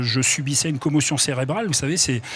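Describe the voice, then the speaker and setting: The voice has ordinary pitch variation, with noticeable background noise behind it. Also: man. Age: 60s. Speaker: retired footballer, author. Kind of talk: TV interview. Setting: TV studio at an event.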